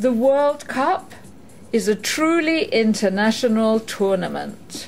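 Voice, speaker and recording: Over music in the background, a woman talks very slowly in a fairly high pitch with lively intonation. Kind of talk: pronunciation guide prompt.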